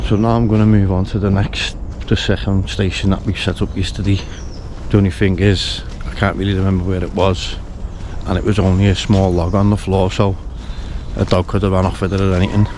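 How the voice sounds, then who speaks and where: A man talks at a fairly quick pace in a monotone, flat intonation, stopping with long, frequent pauses. Noticeable background noise runs behind him. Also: fairly low pitch for a man. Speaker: bird-watching vlogger. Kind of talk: outdoor vlog. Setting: outdoors in the woods. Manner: quiet, soft-spoken.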